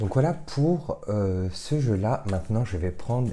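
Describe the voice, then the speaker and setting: This soft-spoken man has a fairly low pitch. He talks at a fairly slow pace with lively intonation. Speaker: tarot card reader. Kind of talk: card reading guidance. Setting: home recording late at night. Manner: hesitant, many fillers.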